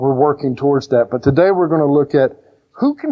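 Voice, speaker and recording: His accent is Southern US. The man's intonation rises and falls in a lively way. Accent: Southern country twang. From rural Georgia, US South. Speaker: pastor. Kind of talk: sermon. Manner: animated, conversational.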